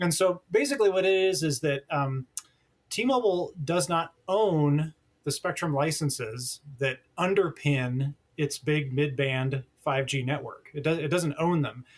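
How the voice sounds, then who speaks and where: A man speaks at a fairly slow pace, his pitch fairly high and his voice somewhat breathy. His pitch varies in an ordinary way. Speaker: telecom journalist. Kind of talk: podcast interview. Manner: animated.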